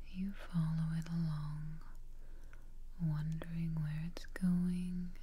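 Soft-spoken and somewhat breathy, a woman talks at a very slow pace in a dark, mellow tone with monotone, flat intonation, with light background noise behind her. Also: dry sound with no echo. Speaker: relaxation guide. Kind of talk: guided meditation, soft-spoken. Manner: soft, hushed guided-relaxation voice. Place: home room.

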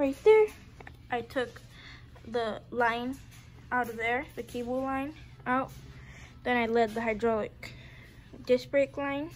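Over light background noise, a woman with a high voice and ordinary pitch variation speaks at a fairly slow pace, with long, frequent pauses. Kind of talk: tutorial. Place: home room. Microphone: phone near.

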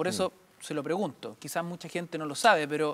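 A man speaks with a fairly high pitch and fairly even intonation. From Chile. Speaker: radio host. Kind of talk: political interview. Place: studio.

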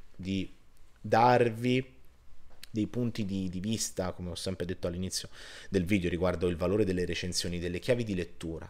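A man talks in a very deep, low voice. His pitch varies in an ordinary way. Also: fairly quick pace. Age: 30s. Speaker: film reviewer. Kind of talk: video review monologue. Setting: home recording on laptop. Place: home room. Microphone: webcam.

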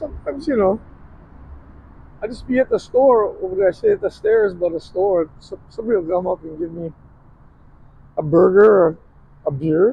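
A man speaks at a moderate pace with a high pitch and lively intonation. Long, frequent pauses break up the dry sound, which has no echo. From Oahu, Hawaii. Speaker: homeless man. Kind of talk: interview answer. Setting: outdoors. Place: street. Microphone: phone near.

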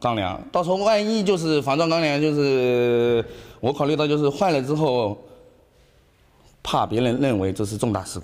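A man speaks with very wide pitch swings and long, frequent pauses. The background is quiet. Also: moderate pace. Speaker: interviewee. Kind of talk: interview answer. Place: garage. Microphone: handheld.

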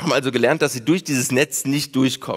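A man's ordinary pitch variation against a quiet background. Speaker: presenter. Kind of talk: popular science talk. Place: stage. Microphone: headset.

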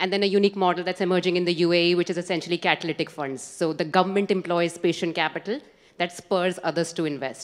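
Over a quiet background, a woman speaks at a very fast pace with a fairly low pitch and fairly even intonation. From India. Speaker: audience member. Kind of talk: audience question. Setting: conference hall with audience. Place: hall. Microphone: handheld.

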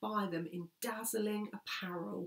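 A somewhat breathy woman's voice against a quiet background. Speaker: speaker. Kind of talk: scripture reading and sermon talk. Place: home room. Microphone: phone near.

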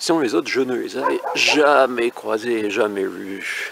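With vocal fry and a fairly bright tone, a man talks fairly slowly at a medium pitch with ordinary pitch variation over faint background noise.

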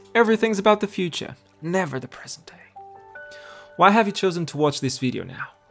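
Music in the background behind lively intonation and a moderate pace. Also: man. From Portugal. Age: 20s. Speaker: nurse, makeup artist, reiki therapist. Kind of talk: reflective self-help talk to camera.

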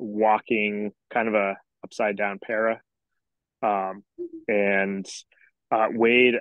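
In a dry recording with no echo, a man with a fairly low pitch speaks in a flat monotone. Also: quiet background. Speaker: wheelchair rugby player. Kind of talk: casual video-call discussion. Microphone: video call.

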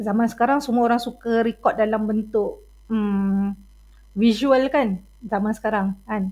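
At a moderate pace, a woman talks in a somewhat breathy voice with a fairly high pitch. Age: 40s. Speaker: university lecturer. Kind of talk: lecture. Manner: code-switching Malay and English, many fillers.

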